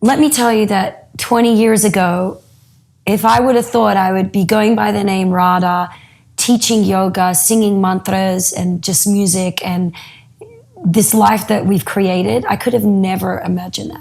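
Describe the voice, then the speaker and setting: Pitch moves in an ordinary way as a woman talks at a medium pitch. Her pace is moderate. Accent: Australian. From Australia. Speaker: yoga teacher. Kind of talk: interview.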